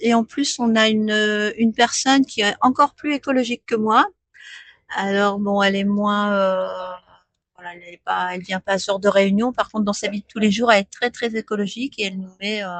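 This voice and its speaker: Medium pitch from a woman, with fairly even intonation, a fairly quick pace and big swings in loudness. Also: dry, close sound with no echo. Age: 60s. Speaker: postal customer adviser. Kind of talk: radio interview. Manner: hesitant, many fillers.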